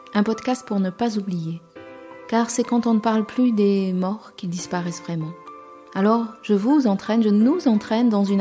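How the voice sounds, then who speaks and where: A woman speaks at a fairly slow pace with music in the background. Her pitch is medium and varies in an ordinary way. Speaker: podcast host. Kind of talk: podcast introduction narration.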